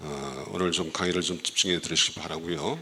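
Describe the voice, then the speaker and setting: A man's very deep, low voice, bright and sharp in tone, with fairly even intonation at a moderate pace, in a very clean recording with a silent background. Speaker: oriental medicine doctor giving health talk. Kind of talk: health lecture to church audience. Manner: halting, many fillers.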